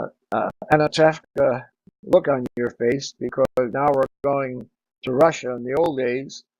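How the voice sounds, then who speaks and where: Over music in the background, a man speaks at a fairly slow pace with a medium pitch and fairly even intonation, in a dry, close sound with no echo. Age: 80s+. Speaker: podcast host, retired performer. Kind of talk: reminiscing monologue.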